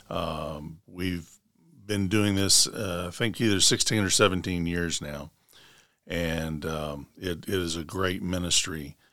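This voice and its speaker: Speaking at a very slow pace with fairly even intonation, a man with a Tennessee accent has a very deep, low pitch and a bright, sharp tone. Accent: US Southern (Tennessee). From Middle Tennessee (Rutherford County). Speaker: Baptist association director of missions. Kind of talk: interview.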